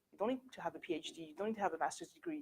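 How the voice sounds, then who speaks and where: With a French accent and ordinary pitch variation, the voice has a dry, close sound with no echo. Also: woman. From France. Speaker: company director and workshop speaker. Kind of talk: presentation. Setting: university workshop with audience. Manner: halting.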